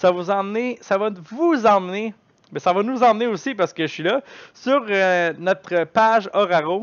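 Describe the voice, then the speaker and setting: Loud and fairly slow, a man speaks at a high pitch with ordinary pitch variation. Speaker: gaming streamer. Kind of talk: live stream chat. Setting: live stream.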